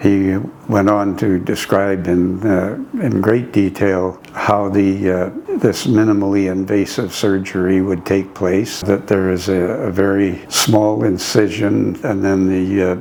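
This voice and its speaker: Over noticeable background noise, the speaker's intonation stays monotone and flat. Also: man. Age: 80s+. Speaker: spine surgery patient. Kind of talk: patient testimonial interview. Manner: hesitant, halting.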